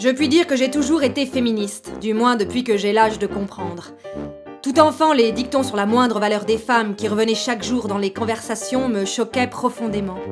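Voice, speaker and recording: Music plays in the background as a woman speaks at a moderate pace. Her voice is fairly high, with ordinary pitch variation. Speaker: voice actor. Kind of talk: theatre monologue.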